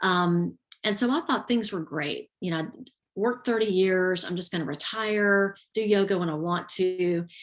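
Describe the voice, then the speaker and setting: A woman with a Southern US accent talks at a moderate pace with ordinary pitch variation. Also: medium pitch for a woman. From US South, Georgia (south Atlanta area). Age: 50s. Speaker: retired teacher and yoga instructor. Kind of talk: interview testimony. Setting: live video stream.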